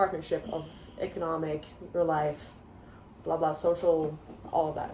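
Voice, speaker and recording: The speech moves at a moderate pace with monotone, flat intonation. Noticeable background noise sits behind it. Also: woman, fairly low pitch for a woman. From Norway. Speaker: international college student. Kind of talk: casual interview.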